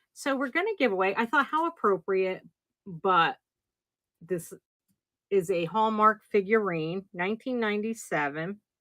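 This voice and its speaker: Moderate pace with long, frequent pauses, lively intonation, a bright, sharp tone and an American accent, on a very clean recording with a silent background and a dry, close sound with no echo. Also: woman, medium pitch for a woman. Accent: slight New Jersey accent, comes out at times. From New Jersey. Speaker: online live-sale seller. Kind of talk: livestream sales show. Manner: casual, chatty.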